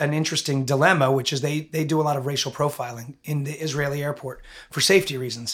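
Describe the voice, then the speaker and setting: A man uses an unremarkable speaking voice and keeps a moderate pace. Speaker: podcast host and school head. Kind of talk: casual interview.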